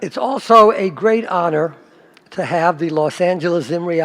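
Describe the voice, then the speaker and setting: At a moderate pace, a man talks in a high pitch. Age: 80s+. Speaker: rabbi. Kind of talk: synagogue speech. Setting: synagogue with congregation.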